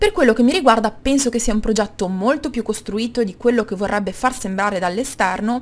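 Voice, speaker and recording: Somewhat breathy, a woman speaks very fast in a fairly high pitch. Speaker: YouTuber. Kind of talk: casual talk to camera, opinion rant.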